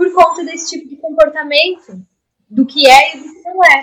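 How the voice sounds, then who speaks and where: The pace is moderate. A woman speaks, her pitch showing ordinary variation. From Rio Grande do Sul coast, Brazil. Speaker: systemic constellation therapist and university lecturer. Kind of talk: podcast interview.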